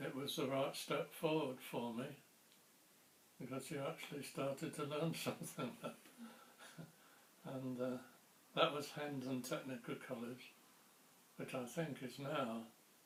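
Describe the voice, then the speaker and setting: A man with a southern English accent speaks at a medium pitch and a fairly slow pace, keeping his intonation fairly even and taking long, frequent pauses. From Ramsgate, Kent, England. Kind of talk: oral history interview answer.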